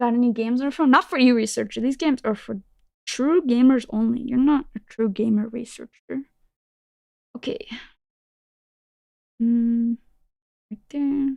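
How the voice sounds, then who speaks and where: With a non-native accent, a woman talks at a high pitch and a moderate pace, using ordinary pitch variation, long and frequent pauses, and a dry, close sound with no echo. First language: not English. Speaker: vtuber streamer. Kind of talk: casual live-stream chat. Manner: animated.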